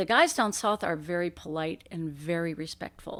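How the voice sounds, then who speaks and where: A woman with an American accent speaks at a fairly slow pace in an unremarkable speaking voice. The recording is very clean, with a silent background. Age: 60s. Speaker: professional bass angler. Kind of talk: podcast interview.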